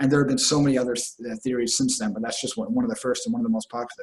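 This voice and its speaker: A man with a fairly high, somewhat breathy voice talks with ordinary pitch variation. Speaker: spiritual teacher. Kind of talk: lecture. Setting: stage with audience. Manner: fast; halting.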